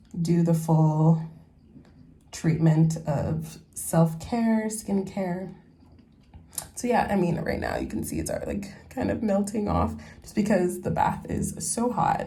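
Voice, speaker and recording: A woman with an American accent speaks at a fairly slow pace in a fairly low, dark and mellow voice with vocal fry and ordinary pitch variation, and the room echo is audible. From San Francisco, California. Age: 20s. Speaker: lifestyle vlogger. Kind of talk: casual vlog talk. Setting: in a bath at home. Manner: relaxed, casual.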